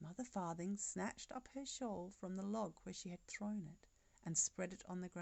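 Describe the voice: The pitch varies in an ordinary way throughout this plain reading aloud.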